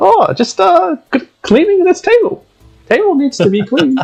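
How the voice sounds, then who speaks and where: In a put-on character voice, a man squeaks at an extremely high pitch and a moderate pace while faint music plays in the background. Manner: nervous, stammering.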